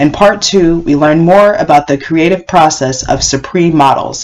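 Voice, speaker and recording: A woman at a moderate pace with lively intonation, against noticeable background noise. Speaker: podcast host. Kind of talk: scripted narration.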